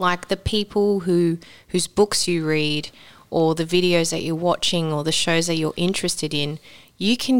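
An Australian accent from a woman, fairly low in pitch, with fairly even intonation at a moderate pace, on a very clean recording with a silent background. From Sydney, Australia. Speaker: actor. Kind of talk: casual chat.

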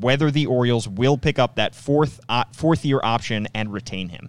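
The intonation here is lively. It's an ordinary speaking voice going at a moderate speed. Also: man. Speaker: sports podcast host. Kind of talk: casual sports talk podcast. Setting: studio. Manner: conversational, chatty.

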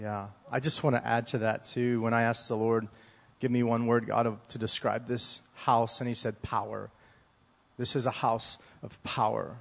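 Speaking at a moderate pace, a man keeps a medium pitch in a monotone, flat intonation. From US South. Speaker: ministry school student and team leader. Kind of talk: church service ministry talk and prayer. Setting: church. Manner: halting.

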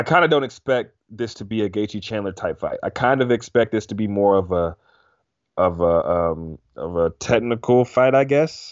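An unremarkable speaking voice, a man at medium pitch, lively in intonation and moderate in pace. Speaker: MMA podcast co-host. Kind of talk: casual sports talk podcast.

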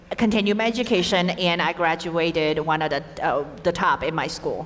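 Here a woman has a normal speaking voice at a moderate pace. Her pitch is fairly low, with ordinary variation. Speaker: interpreter. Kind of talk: live interpretation. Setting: stage with audience.

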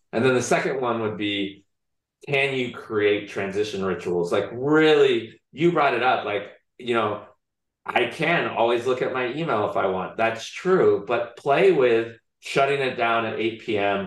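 Audible room echo surrounds a man speaking at a medium pitch. His pace is fairly slow, with ordinary pitch variation. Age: 50s. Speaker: behavioral scientist and author. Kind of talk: interview.

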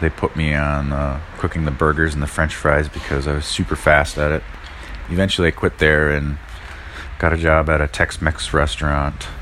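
With an American accent, a man talks at a moderate pace in a very deep, low pitch, his intonation fairly even, over noticeable background noise. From US Midwest, northern Wisconsin (Red Cliff). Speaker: chef and punk bassist. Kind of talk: interview. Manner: hesitant, many fillers.

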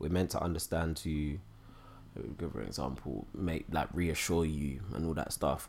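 On a very clean recording with a silent background, the voice carries vocal fry. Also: man. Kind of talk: casual chat.

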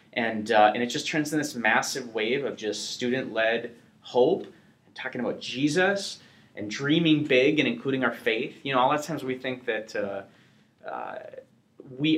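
In a normal speaking voice, a man with an American accent talks at a moderate pace and a medium pitch with ordinary pitch variation. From US Upper Midwest (North Dakota). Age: 30s. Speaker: evangelist. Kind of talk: interview. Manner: casual, filler-heavy.

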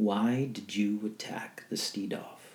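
In a put-on character voice, a man growls at a fairly low pitch and a fairly slow pace. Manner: growling.

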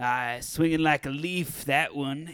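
A man's put-on character voice, fairly high in pitch and fairly slow, with fairly even intonation and a dry, close sound with no echo. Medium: comedy sketch. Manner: blunt, businesslike.

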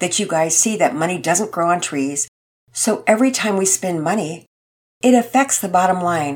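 Read aloud in a natural voice against a quiet background.

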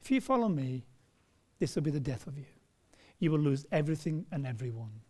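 Somewhat breathy and dark, mellow in tone, a man talks at a fairly quick pace and fairly high pitch with lively intonation. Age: 40s. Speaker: pastor. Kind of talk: sermon. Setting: church.

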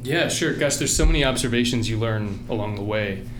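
Audible room echo and noticeable background noise surround the recording. A man speaks with a fairly low pitch. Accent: American. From Virginia, Richmond and Appalachia. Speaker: tech executive, machine learning lead. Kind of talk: interview. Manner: halting, frequent repeated words.

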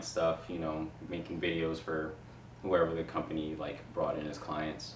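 A man speaks with an American accent. There is audible room echo and noticeable background noise. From Queens, New York. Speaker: video production company owner. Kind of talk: casual interview chat. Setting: in-person in a living room.

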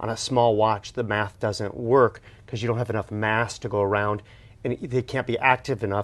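Against a quiet background, the voice moves at a fairly quick pace with monotone, flat intonation. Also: man. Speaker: co-host, watch collector. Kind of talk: casual interview.

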